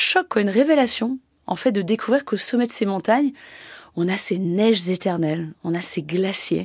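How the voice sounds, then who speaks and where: A woman with a plain, everyday voice speaks at a moderate pace and a medium pitch. Her intonation is lively, and the recording is very clean with a silent background. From French Alps, near Annecy. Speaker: glaciologist. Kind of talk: radio interview.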